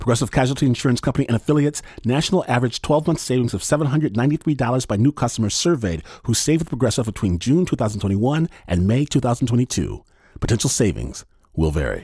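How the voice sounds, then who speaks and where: Fairly quick and dramatic in tone, a man with a medium-pitched, dark, mellow voice and vocal fry speaks with lively intonation. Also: very even loudness, very clean recording, silent background. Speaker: podcast host and storyteller. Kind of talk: scripted narration.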